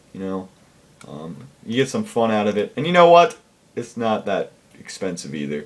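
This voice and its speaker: A man is talking. His speed is moderate. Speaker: gaming video creator. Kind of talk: casual commentary. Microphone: webcam.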